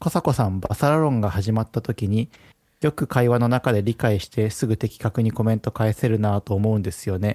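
A man's dark, mellow voice moves at a fairly quick pace with ordinary pitch variation, the sound dry and close with no echo on a very clean recording with a silent background. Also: medium pitch for a man. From Japan, Hiroshima. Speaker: podcast co-host. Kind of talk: casual chat.

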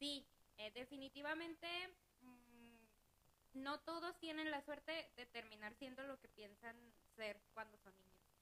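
A woman's high-pitched, raised, projected voice, bright and sharp in tone, at a fairly slow pace with long, frequent pauses, big swings in loudness and ordinary pitch variation. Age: 20s. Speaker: accounting assistant. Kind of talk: casual chat.

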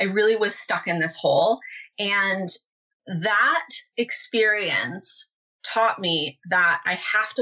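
With a Californian accent, a woman speaks at a medium pitch. Her pitch variation is ordinary. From Southern California. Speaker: online business mentor. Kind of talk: interview.

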